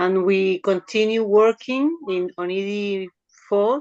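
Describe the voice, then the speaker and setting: The recording is dry and close, with no echo. A woman talks using ordinary pitch variation. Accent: Spanish. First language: Spanish. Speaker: surrealist poet. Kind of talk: poetry reading. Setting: video call. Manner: halting.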